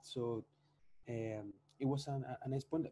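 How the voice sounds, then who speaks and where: At a moderate pace, a man with a Spanish accent talks with ordinary pitch variation. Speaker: chef and social food entrepreneur. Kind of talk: podcast interview. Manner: halting, with many repetitions.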